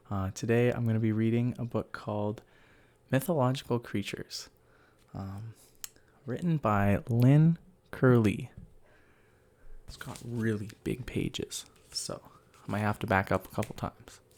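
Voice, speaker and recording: A soft-spoken man with ordinary pitch variation. He leaves long, frequent pauses. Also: medium pitch for a man, moderate pace, big swings in loudness. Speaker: ASMR creator. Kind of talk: casual talk to camera.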